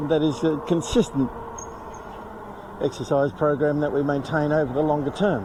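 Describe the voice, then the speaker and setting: Against noticeable background noise, a man with a fairly high voice speaks at a moderate pace with ordinary pitch variation, very even loudness, and long, frequent pauses. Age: 70s. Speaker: retired expat vlogger. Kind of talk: casual vlog monologue. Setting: outdoors on a bike.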